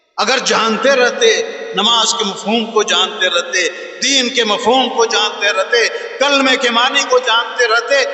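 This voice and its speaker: A man talks at an extremely high pitch with lively intonation. Audible room echo and noticeable background noise surround his voice. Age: 60s. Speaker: Islamic scholar. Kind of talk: sermon. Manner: animated.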